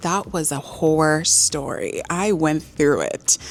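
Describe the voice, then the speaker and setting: A woman with an American accent speaks with music in the background. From Los Angeles, California, with time in Nigeria. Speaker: vlogger and marketing director. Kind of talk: casual vlog to camera. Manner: chatty, filler-heavy.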